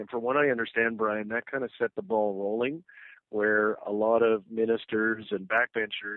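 The man has a plain, everyday voice with medium pitch. He talks at a moderate pace. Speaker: political commentator. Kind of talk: radio interview. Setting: phone call.

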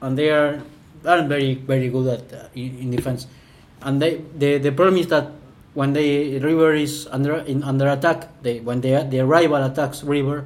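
A man talks with a Spanish accent. His pitch sits fairly high. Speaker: football commentator. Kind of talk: casual podcast chat about football. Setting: home apartment recording. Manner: halting.

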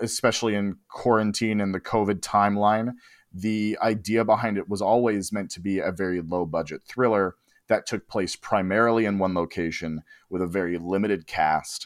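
In a normal speaking voice, a man talks at a moderate pace with a fairly low pitch and fairly even intonation. The recording is very clean with a silent background and a dry, close sound with no echo. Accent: American. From Los Angeles, US. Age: 20s. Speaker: writer and director. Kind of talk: casual chat.

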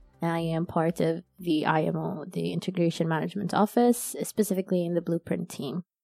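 A woman with an Arabic accent talks at a fairly quick pace with hardly any pauses, her fairly low voice keeping a fairly even intonation. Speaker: corporate employee and novelist. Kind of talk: interview. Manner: casual, with fillers and false starts.

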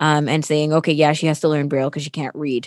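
Speaking with a Toronto accent, the voice has a dry, close sound with no echo. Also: woman. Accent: Canadian, Toronto. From Toronto, Canada (born in Sri Lanka). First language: Tamil. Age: 20s. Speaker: radio co-host. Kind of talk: interview, casual chat. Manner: animated.

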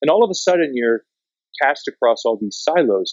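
Speaking at a moderate pace with lively intonation, a man with a Canadian accent uses a normal speaking voice. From Canada, rural southwestern Ontario. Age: 50s. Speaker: documentary filmmaker. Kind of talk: interview.

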